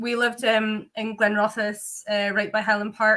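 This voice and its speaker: A woman talks at a moderate pace in a fairly high pitch. Her intonation is monotone and flat, her tone bright and sharp. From Scotland. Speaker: distillery founder. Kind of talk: interview.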